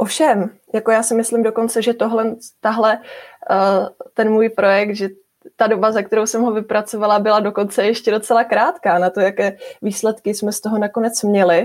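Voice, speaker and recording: A woman's flat, monotone delivery comes at a rather quick speed. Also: fairly high pitch for a woman. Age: 20s. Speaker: young scientist. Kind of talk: interview. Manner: halting.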